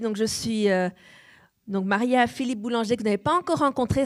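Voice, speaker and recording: The recording is very clean, with a silent background. A woman talks at a fairly quick pace in a fairly high pitch, with ordinary pitch variation. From France, Nice. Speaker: pastor. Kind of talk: sermon. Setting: church.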